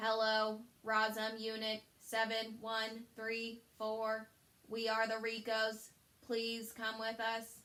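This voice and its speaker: Using a robotic, put-on character voice, a woman speaks in a fairly high pitch at a very slow pace. Her intonation is monotone and flat. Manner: flat, formal.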